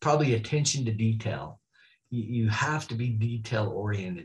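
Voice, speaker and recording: Speaking at a moderate pace with an American accent, a man sounds somewhat breathy and uses lively intonation. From northern Utah, Oakley; Utah. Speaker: high school athletic director; podcast guest. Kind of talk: interview. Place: office. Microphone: video call.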